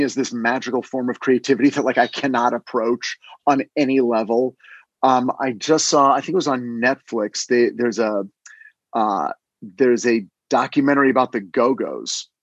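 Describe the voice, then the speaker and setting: Here is a man with an unremarkable speaking voice at a medium pitch and a moderate pace, with ordinary pitch variation. The sound is dry and close with no echo. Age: 50s. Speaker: screenwriter and podcast co-host. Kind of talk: casual chat.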